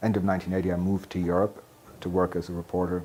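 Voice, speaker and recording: With an American accent, a man speaks in a very deep, low pitch and a dark, mellow tone. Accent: North Atlantic rather than Manhattan. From New York City. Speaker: journalist. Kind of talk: oral history interview. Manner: hesitant, many fillers.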